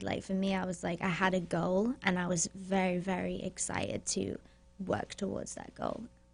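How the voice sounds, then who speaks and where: Somewhat breathy and at a medium pitch, a woman speaks at a moderate pace with monotone, flat intonation. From northeast England, Newcastle. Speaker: guest on talk show. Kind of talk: casual chat. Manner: hesitant, filler-heavy.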